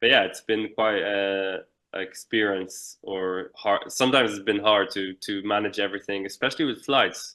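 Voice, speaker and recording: Speaking at a moderate pace with hardly any pauses, a man with an Irish accent keeps a fairly low pitch and fairly even intonation. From Israel. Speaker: Olympic windsurfer. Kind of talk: interview.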